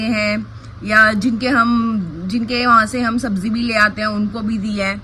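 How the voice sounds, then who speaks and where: Noticeable background noise sits behind a woman talking. Her pitch varies in an ordinary way. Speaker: village life vlogger. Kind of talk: casual vlog talk. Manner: usually slow, trying to speak louder.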